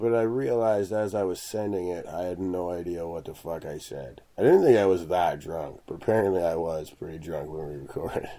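A man's very deep, low voice at a fairly quick pace with hardly any pauses, big swings in loudness, ordinary pitch variation and audible room echo. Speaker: podcast co-host. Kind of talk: casual chat.

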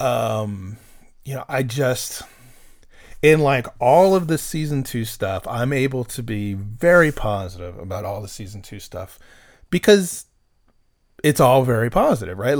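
A man with an unremarkable speaking voice talks at a medium pitch and moderate pace with lively intonation. The recording is very clean, with a silent background. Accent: American. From Texas. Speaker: podcast host. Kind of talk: casual chat.

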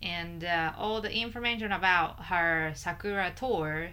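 A woman speaks with a Japanese accent in a fairly low pitch. Her tone is bright and sharp, with ordinary pitch variation. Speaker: fiddle player and podcast co-host. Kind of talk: casual chat.

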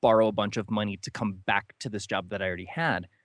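A man is speaking against a quiet background. His voice sounds dry and close, with no echo. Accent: Midwestern American. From US Midwest, northern Ohio. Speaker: author. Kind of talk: interview.

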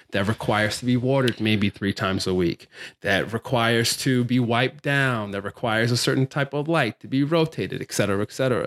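In an ordinary speaking voice, a man of medium pitch talks fairly quickly with an American accent, ordinary pitch variation and hardly any pauses. The recording is very clean with a silent background, and the sound is dry and close with no echo. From Baltimore, Maryland, US. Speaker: plant stylist and filmmaker. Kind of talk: interview conversation.

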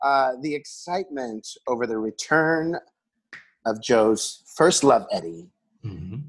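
At a fairly slow pace, a man with an unremarkable speaking voice and a medium pitch speaks with lively intonation. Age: 40s. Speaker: regular podcast guest, community theater performer. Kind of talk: casual chat. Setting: remote recording from home.

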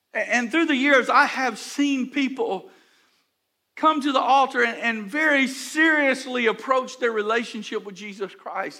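A man's extremely high-pitched, raised, projected voice with a bright, sharp tone moves at a fairly slow pace with ordinary pitch variation. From Houston, Texas. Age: 60s. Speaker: pastor. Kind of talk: sermon.

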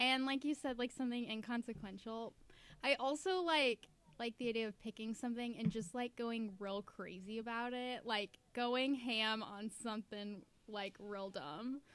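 At a moderate pace, a woman speaks in an unremarkable speaking voice, fairly high in pitch. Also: ordinary pitch variation. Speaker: podcast host. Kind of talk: casual chat.

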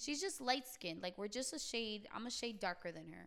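Using lively intonation, a woman with a New York accent talks at a fairly quick pace in a fairly high voice. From New York, Queens. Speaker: hairstylist. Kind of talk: casual chat.

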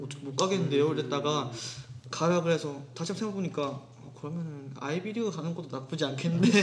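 At a very fast pace, a man speaks in a fairly high pitch with ordinary variation, amid audible room echo and noticeable background noise. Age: 20s. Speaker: music student, singer-songwriter. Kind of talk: casual chat. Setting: recorded at home.

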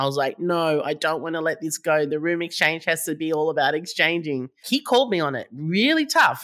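Fairly low in pitch, a woman talks with an Australian accent and a bright, sharp tone. The recording is very clean, with a silent background. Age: 50s. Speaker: startup founder. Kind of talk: interview.

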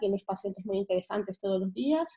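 Here is a woman with a medium-pitched voice. Her tone is dark and mellow. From Venezuela, Caracas. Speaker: pediatric surgeon. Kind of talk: interview.

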